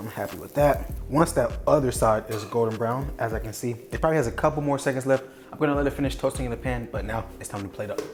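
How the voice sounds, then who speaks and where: A man's voice with music in the background. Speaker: cooking youtuber. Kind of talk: cooking tutorial.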